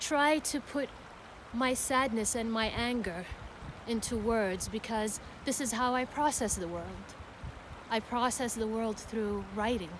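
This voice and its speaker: Against noticeable background noise, a woman speaks fairly slowly in a fairly high pitch, with ordinary pitch variation and long, frequent pauses. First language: Arabic. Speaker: poet. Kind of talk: spoken word introduction.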